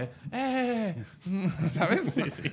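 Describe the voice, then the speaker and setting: Audible room echo and noticeable background noise around lively intonation. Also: man. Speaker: comedian. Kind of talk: casual chat. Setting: stage with audience.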